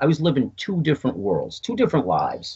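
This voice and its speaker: Speech with vocal fry moves along at a fairly quick pace. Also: man. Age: 60s. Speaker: UFO contactee. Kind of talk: interview. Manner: halting, repeating words.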